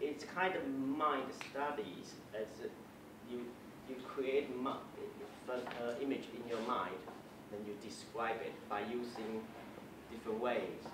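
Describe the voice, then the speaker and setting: Speaking at a very slow pace, a man leaves long, frequent pauses. Room echo is audible, and background noise is noticeable. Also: ordinary pitch variation. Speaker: speaker. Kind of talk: lecture. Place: classroom. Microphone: camera far.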